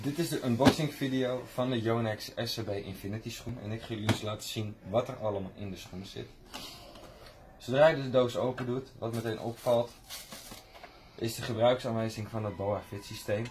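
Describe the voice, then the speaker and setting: A man at a moderate pace, intonation fairly even, with light background noise. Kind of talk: product unboxing tutorial. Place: shop. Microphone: phone near.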